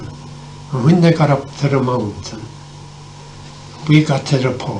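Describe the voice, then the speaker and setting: The voice has an Irish accent and fairly even intonation. Noticeable background noise runs underneath. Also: man. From Ireland. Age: 80s+. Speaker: former Irish civil war fighter. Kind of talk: storytelling interview answer. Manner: hesitant, halting.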